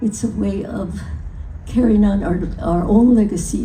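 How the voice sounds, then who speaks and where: Speaking fairly slowly, a woman's voice carries audible room echo. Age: 90s. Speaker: folk artist and honoree. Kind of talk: acceptance speech. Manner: halting.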